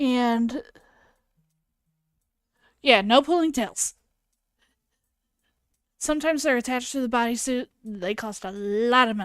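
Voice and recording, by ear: A woman's fairly bright, clear, smooth tone at a slow pace, with long, frequent pauses and ordinary pitch variation. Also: fairly high pitch for a woman.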